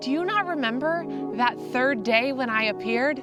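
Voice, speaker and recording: There is music in the background. A woman speaks at a fairly high pitch and a fairly slow pace. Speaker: spoken word poet. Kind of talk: spoken word poetry performance. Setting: outdoors.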